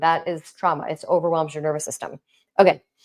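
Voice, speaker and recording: A woman with an American accent, fairly low in pitch, at a moderate pace. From New York. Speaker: intimacy and relationship coach. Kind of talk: live stream talk. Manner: animated.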